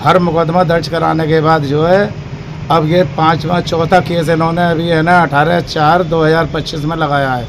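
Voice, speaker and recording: A man's fairly high, monotone, flat voice amid noticeable background noise and audible room echo. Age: 60s. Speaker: father-in-law in family dispute. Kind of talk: interview with reporter.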